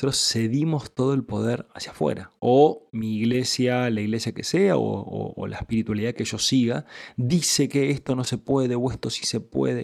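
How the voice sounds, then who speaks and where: Here a man talks at a moderate pace. He leaves hardly any pauses. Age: 30s. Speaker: spiritual teacher podcaster. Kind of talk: spiritual teaching monologue.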